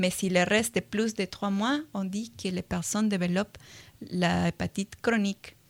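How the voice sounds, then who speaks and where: A woman with a Latin American accent speaks fairly slowly in a somewhat breathy voice with fairly even intonation. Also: medium pitch for a woman. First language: Spanish (speaking French). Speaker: virology researcher. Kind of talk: radio interview. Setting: radio studio. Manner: hesitant, many fillers.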